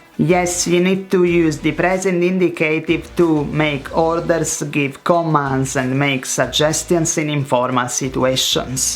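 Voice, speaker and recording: Against noticeable background noise, the speaker goes at a very slow pace. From Italy. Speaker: language teacher. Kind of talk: tutorial. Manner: animated.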